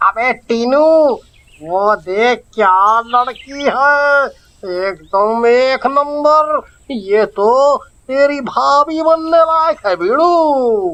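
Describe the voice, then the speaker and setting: Very slowly and at an extremely high pitch, a man talks in a put-on character voice. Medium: audio drama. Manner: slangy, brash.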